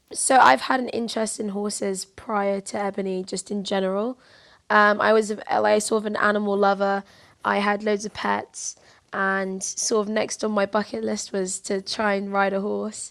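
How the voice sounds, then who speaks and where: The woman's intonation stays monotone and flat. She holds a medium pitch and a moderate tempo. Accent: London. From southeast London. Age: 20s. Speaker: university student and amateur jockey. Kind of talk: interview.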